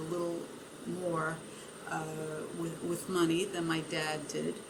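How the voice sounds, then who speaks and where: Over noticeable background noise and audible room echo, the speech runs in a flat monotone. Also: woman. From Italy, then immigrant child in America. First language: Italian and Yiddish. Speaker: retired language teacher, oral history interviewee. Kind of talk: oral history interview. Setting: library. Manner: halting, many fillers.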